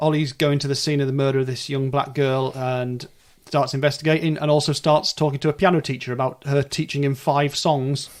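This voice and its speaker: A fairly high-pitched man with a northern English accent, monotone and flat at a fairly quick pace. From northern England. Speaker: podcast host. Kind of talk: casual chat.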